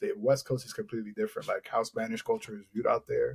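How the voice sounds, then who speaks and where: A man with an American accent, very fast pace, somewhat breathy delivery and a dark, mellow tone. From Boston. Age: 30s. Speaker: poet. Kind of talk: casual chat.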